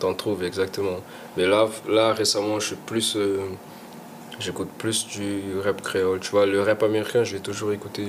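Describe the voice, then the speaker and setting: Delivery is monotone and flat at a moderate pace, broken by long, frequent pauses. Noticeable background noise is present. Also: man. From Portugal (Lisbon), Guinea-Bissau family, also Senegal and England. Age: 20s. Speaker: rapper. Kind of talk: casual interview. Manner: halting, many repetitions.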